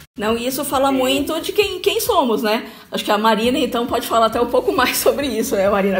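Amid noticeable background noise and audible room echo, a woman speaks fairly quickly at a high pitch. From Brazil, Bauru (São Paulo state). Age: 50s. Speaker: corporate trainer and HR consultant. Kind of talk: radio talk show interview. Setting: radio studio.

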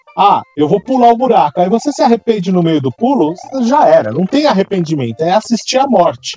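Pitched high for a man, his voice makes very wide pitch swings, recorded dry and close with no echo but with noticeable background noise. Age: 30s. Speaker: gaming podcast co-host. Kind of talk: casual chat.

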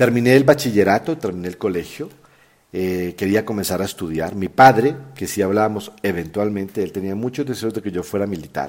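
This man has an ordinary speaking voice, fairly low in pitch. He moves at a fairly quick pace with ordinary pitch variation. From Colombia. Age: 40s. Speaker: podcast host. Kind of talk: personal storytelling monologue.

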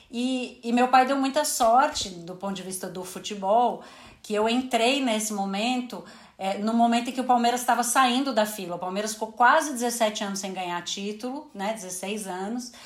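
Audible room echo surrounds a woman with a fairly high pitch, speaking at a moderate pace with ordinary pitch variation. Her loudness swings widely. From Brazil, São Paulo. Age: 30s. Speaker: sports journalist and manager. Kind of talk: casual interview chat.

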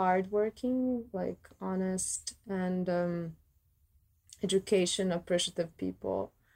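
This woman's tone is dark and mellow. She talks very slowly with monotone, flat intonation. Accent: Croatian. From Croatia, Zagreb. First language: Croatian. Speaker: violist. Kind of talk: casual chat.

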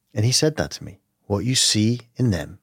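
On a very clean recording with a silent background, a man with a London accent speaks at a moderate pace. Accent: British English, London. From London, England. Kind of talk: casual interview conversation.

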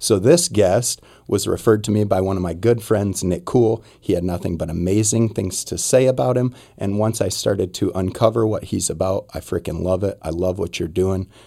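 Pausing hardly at all, a man with an American accent speaks in a dark, mellow tone at a fairly low pitch with ordinary pitch variation. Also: moderate pace. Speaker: podcast host. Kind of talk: casual interview chat.

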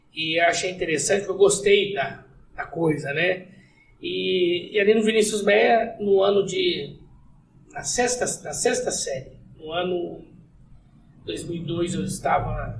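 Audible room echo surrounds a voice with ordinary pitch variation, a fairly slow pace and long, frequent pauses. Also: man, high pitch for a man. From southern Minas Gerais, Brazil. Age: 30s. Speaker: city councillor and lawyer. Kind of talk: casual podcast interview.

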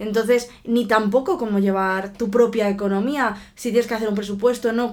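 A woman with a normal speaking voice talks at a fairly quick pace and a fairly high pitch, with ordinary pitch variation. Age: 30s. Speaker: podcast co-host. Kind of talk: casual chat.

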